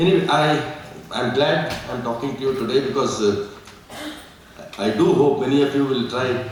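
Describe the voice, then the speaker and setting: Lively intonation amid audible room echo and noticeable background noise. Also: man. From India. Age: 70s. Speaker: retired civil servant. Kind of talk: seminar speech. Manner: halting.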